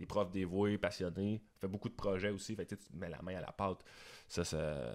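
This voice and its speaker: Over a quiet background, a man with a very deep, low pitch speaks at a fairly slow pace with ordinary pitch variation. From Quebec. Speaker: musician and video producer; podcast guest. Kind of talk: casual interview. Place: studio. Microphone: studio mic.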